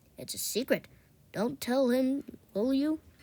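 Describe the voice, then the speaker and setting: A woman puts on a character voice, talking high-pitched at a moderate speed. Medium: read story.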